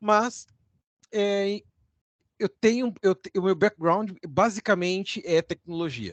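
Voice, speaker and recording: Speaking at a very slow pace with long, frequent pauses, a man with a southern Brazilian accent shows big swings in loudness. His pitch is high, with ordinary variation, and the sound is dry and close with no echo. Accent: gaúcho Brazilian Portuguese, noticeable. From Rio Grande do Sul, southern Brazil. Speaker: university lecturer. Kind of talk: informal lecture. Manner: conversational.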